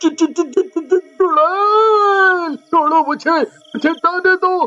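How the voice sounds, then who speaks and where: A put-on character voice sits at an extremely high pitch. It moves at a very slow pace. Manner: panicked, stammering.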